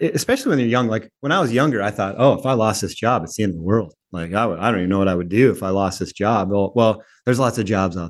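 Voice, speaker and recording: A man with an American accent, fairly low in pitch, talking at a very fast pace with hardly any pauses, ordinary pitch variation, and a quiet background. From Minnesota. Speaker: logistics company president. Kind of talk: interview. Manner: hesitant, many fillers.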